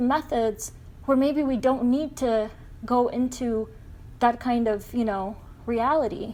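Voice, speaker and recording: Her pitch high and her tone dark and mellow, a woman talks at a moderate pace with fairly even intonation. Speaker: spiritual channel. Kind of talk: casual chat. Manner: hesitant, halting in places.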